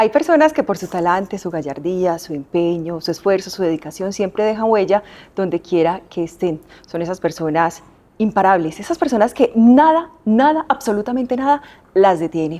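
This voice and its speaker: A woman with a dark, mellow tone speaks at a moderate pace, her pitch swinging very widely. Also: medium pitch for a woman. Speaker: interviewer. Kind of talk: interview introduction.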